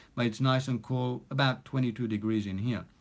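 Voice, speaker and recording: Someone with a non-native accent talks fairly quickly and with fairly even intonation in a very clean recording with a silent background. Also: man. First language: not English. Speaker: recording studio owner and music producer. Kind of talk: live stream chat. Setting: home recording studio. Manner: casual, many fillers.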